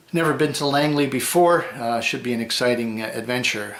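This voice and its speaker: Over noticeable background noise, a man with a Canadian accent speaks at a medium pitch and a fairly quick pace. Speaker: metal detecting vlogger. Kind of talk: casual vlog. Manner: fast; hesitant, many fillers.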